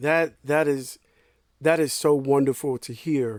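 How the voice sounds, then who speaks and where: Recorded very cleanly against a silent background, a man with an American accent speaks at a fairly slow pace with a dry, close sound with no echo. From US South. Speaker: podcast host. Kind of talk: interview podcast. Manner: animated.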